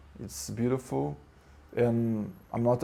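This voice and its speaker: With a Portuguese accent, a man speaks very slowly. His medium-pitched voice has a dark, mellow tone. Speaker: spiritual teacher. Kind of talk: spiritual talk. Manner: halting.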